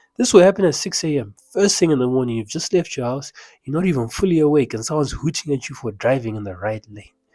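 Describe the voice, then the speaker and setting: On a very clean recording with a silent background, a man races along at a very fast pace in a fairly high pitch, his dark, mellow tone carrying lively intonation and big swings in loudness. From Zimbabwe. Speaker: self-help coach. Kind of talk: motivational talk.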